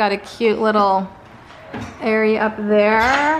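A woman talks at a very slow pace. Light background noise sits behind her. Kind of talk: casual vlog chat. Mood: excited, pleased. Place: home room. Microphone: phone near.

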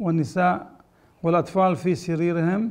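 A man's high-pitched voice with fairly even intonation. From Syria, Aleppo; Syria. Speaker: rabbi. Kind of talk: public appeal. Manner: halting. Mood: earnest, pleading. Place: home room.

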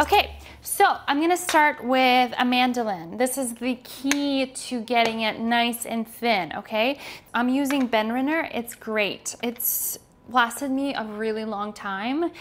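A woman with a high voice speaks at a fairly slow pace with ordinary pitch variation. Light background noise sits underneath. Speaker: cooking host. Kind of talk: tutorial. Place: kitchen. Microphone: lapel.

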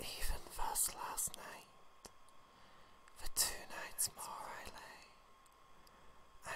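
A woman whispering. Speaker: ASMR performer. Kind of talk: soft poetry reading to help sleep. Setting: studio microphone recording. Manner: whispered, slow. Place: home room. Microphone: studio mic.

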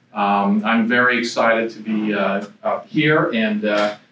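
The tone is bright and sharp, the pace fairly slow, with little pitch movement and audible room echo. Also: man, fairly low pitch for a man.

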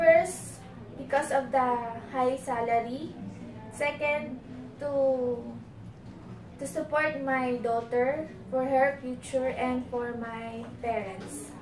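A woman with a Filipino accent speaks at a high pitch and a very slow pace, with fairly even intonation and long, frequent pauses, amid audible room echo and light background noise. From Philippines. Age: 30s. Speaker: domestic helper applicant. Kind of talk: job interview. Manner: halting. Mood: polite, slightly nervous. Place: empty room. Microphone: camera far.

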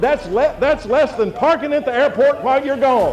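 Over clear music in the background, a man talks at a fairly quick pace, with audible room echo. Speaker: professional auctioneer. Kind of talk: live charity auction. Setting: live event, public address system. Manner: rapid-fire bid calling with humor. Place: tent.

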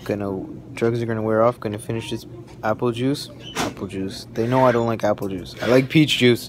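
The pace is fairly quick, and the intonation fairly even. Noticeable background noise sits behind the voice. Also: man. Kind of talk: casual vlog chat. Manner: sleepy, sluggish post-anesthesia voice. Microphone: phone near.

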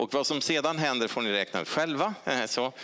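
With lively intonation, a man talks at a moderate pace over a quiet background. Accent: Stockholm. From Sweden, Stockholm; Sweden. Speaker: honorary doctor; honorary doctor giving lecture. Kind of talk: lecture. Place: hall.

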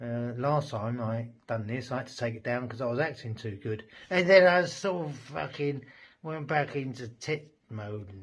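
Somewhat breathy, a man talks at a moderate pace with lively intonation and big swings in loudness over a quiet background. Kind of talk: drunken casual vlog monologue. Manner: loose, rambling drunken voice. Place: home room. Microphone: phone near.

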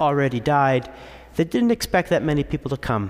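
An animated, warm tone at a fairly quick pace, with ordinary pitch variation and a quiet background. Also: man. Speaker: priest. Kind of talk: sermon. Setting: church. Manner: clear, persuasive preacher's cadence with a laugh and a storytelling tone. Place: church. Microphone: podium.

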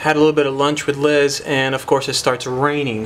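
This man talks at a very fast pace. Light background noise sits behind him. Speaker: bike rider vlogger. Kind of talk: casual vlog chat. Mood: annoyed about the rain. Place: garage. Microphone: phone near.

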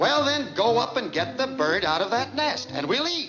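A man does a cartoonish character voice, extremely high-pitched with a bright, sharp tone and big pitch swings. He keeps a moderate pace as faint music plays in the background.

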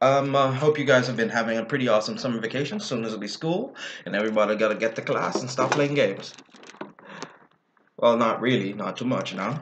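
A man speaks at a very fast pace with ordinary pitch variation. Light background noise sits behind him. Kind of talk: casual vlog chat. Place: home room. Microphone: webcam.

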